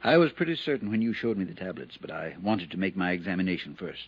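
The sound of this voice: Man's put-on character voice, low and slightly husky at the edge, with big pitch swings and a fast pace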